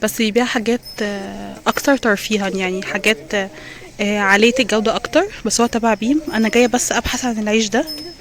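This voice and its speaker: A woman talks at a fairly quick pace with a fairly high pitch and ordinary pitch variation. Noticeable background noise sits behind her. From Egypt, Alexandria. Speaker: vlogger. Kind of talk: vlog walkthrough. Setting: outdoors and supermarket. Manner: casual, with frequent hesitations.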